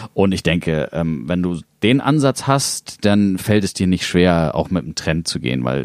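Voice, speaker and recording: A man at a fairly slow pace, very deep and low in pitch. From Hamburg, northern Germany. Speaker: electronic music producer and label owner. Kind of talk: casual interview. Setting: studio.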